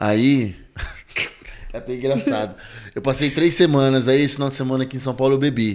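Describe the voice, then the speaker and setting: A man talks at a fairly quick pace with ordinary pitch variation. He leaves long, frequent pauses. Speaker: podcast host. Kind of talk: casual podcast interview questions. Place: studio. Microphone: studio mic.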